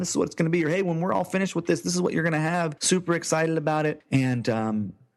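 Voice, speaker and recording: A man talks with lively intonation, the background quiet. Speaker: e-commerce entrepreneur. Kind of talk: podcast interview. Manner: fast.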